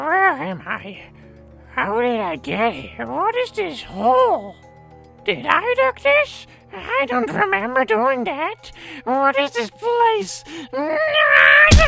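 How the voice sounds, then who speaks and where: A cartoonish, female-sounding character voice speaks at a high pitch and a very slow pace. Music plays clearly in the background. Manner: bewildered, panicky.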